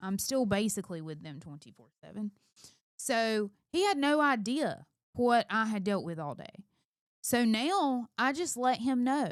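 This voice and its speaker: In a very clean recording with a silent background, a woman speaks at a fairly slow pace and fairly high pitch, her pitch swinging very widely and her loudness shifting in big swings. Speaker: married couple channel co-host; homeschooling mother. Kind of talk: casual chat. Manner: loud when passionate.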